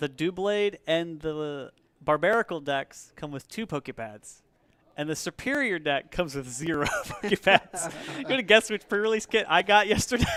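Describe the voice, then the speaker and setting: The voice is loud, with a bright, sharp tone. Its intonation is lively and the pace moderate. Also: man, high pitch for a man. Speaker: stream commentator at card game store. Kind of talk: casual chat.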